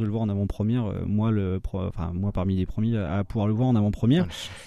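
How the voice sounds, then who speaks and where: Dark and mellow in tone, a man speaks at a very fast pace. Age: 30s. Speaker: film podcast host. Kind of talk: casual panel chat.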